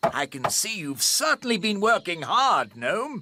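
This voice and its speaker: A cartoonish character voice sits fairly high and moves through very wide pitch swings. It speaks at a fairly slow pace. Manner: posh, blustering.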